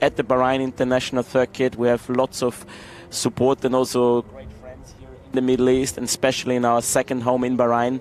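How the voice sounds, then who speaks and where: At a moderate pace, a man with an Austrian accent speaks in a medium-pitched, monotone, flat voice. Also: dry, close sound with no echo. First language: German. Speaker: racing team executive. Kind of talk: interview during live race broadcast.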